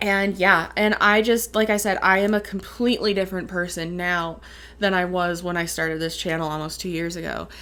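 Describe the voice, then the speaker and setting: With a Midwestern accent, a woman talks at a moderate pace in a medium-pitched voice with a bright, sharp tone and fairly even intonation. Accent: Midwestern, Canadian-sounding on some words. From Upper Peninsula of Michigan. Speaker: vlogger. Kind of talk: casual Q and A vlog.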